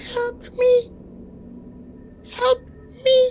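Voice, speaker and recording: Someone uses a put-on character voice at an extremely high pitch. Clear background noise can be heard. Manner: pleading, desperate.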